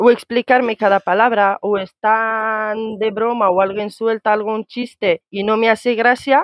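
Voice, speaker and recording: A woman talks in a normal speaking voice, pitched fairly high. Her pitch varies in an ordinary way. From Morocco, Tangier. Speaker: immigrant sharing experience. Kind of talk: casual chat.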